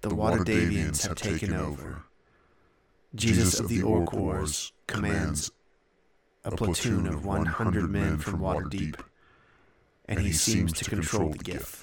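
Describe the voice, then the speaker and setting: A man's put-on character voice, very deep and low, at a fairly slow pace with long, frequent pauses. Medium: actual play. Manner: terse, clipped, matter-of-fact.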